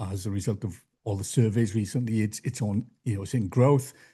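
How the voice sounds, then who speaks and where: In a quiet setting, a man speaks at a moderate pace and fairly low pitch, somewhat breathy, with a dark, mellow tone and fairly even intonation. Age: 60s. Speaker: podcast host. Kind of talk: podcast interview.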